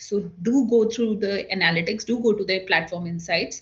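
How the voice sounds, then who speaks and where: In a normal speaking voice, a woman speaks at a moderate pace with a medium pitch and ordinary pitch variation. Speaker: government social media officer. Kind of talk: online workshop presentation.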